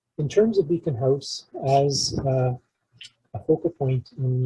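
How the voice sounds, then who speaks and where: Quiet and somewhat breathy, a man with a Canadian accent speaks at a fairly high pitch in a dark, mellow tone, the sound dry and close with no echo. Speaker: community emergency preparedness presenter. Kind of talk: community presentation. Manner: hesitant, many fillers (uh); quiet, volume drifts. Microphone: too quiet.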